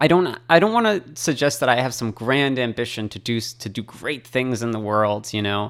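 In a very clean recording with a silent background, a man with an ordinary speaking voice and an American accent talks at a moderate pace in a medium pitch with ordinary pitch variation. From US, Boston, Massachusetts. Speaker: electrical engineer. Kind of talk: radio interview. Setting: studio.

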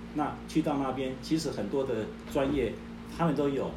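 There is noticeable background noise along with audible room echo. Through it, a man talks at a moderate speed. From southern Taiwan. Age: 60s. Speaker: retired company chairman. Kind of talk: testimony.

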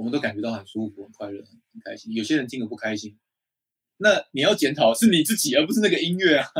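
His pace is very fast and his pitch fairly high. This man's pitch swings very widely. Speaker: podcast co-host. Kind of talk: casual chat. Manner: animated.

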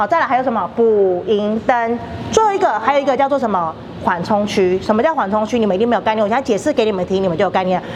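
A woman speaks over noticeable background noise. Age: 40s. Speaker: tour guide at family food factory. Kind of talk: guided tour.

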